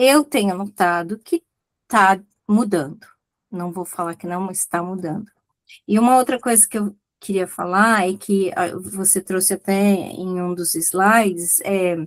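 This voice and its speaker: A woman with an unremarkable speaking voice talks at a fairly slow pace and medium pitch with ordinary pitch variation, in a dry, close sound with no echo. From Brazil. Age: 60s. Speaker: audience participant. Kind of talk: casual chat. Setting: video call.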